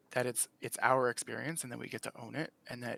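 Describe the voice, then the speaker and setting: A man speaks at a medium pitch and moderate pace, with vocal fry and a bright, sharp tone. The sound is dry and close, with no echo. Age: 40s. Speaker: panel guest in LGBTQ discussion. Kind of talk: casual discussion. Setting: live stream video call. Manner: animated.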